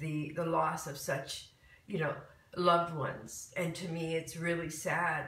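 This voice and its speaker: A woman with an American accent and a fairly low pitch speaks in a monotone, flat way at a moderate pace, with audible room echo. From Michigan. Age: 60s. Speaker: spiritual talk host. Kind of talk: live stream casual talk. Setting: live video stream at home.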